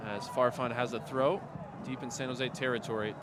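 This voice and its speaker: A man's medium-pitched, energetic voice over noticeable background noise. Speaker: radio play-by-play soccer commentator. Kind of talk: live sports play-by-play commentary. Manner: fast, energetic.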